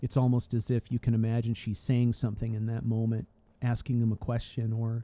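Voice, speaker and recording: This man talks at a fairly quick pace in a monotone, flat delivery, his medium-pitched voice dark and mellow, relaxed in tone, and recorded dry and close with no echo. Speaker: gaming streamer. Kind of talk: casual gameplay commentary. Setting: live stream at home. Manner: relaxed, low-key.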